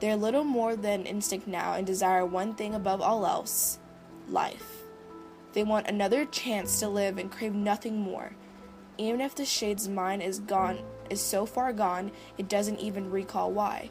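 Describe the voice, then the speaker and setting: A woman at medium pitch, with music in the background. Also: fairly even intonation, moderate pace. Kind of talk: horror story narration.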